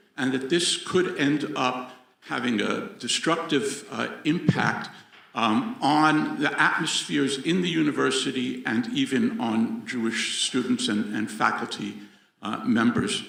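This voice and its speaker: A man with an American accent at a fairly slow pace, amid noticeable background noise and audible room echo. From United States. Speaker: audience member, professor. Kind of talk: audience question. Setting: venue with live audience.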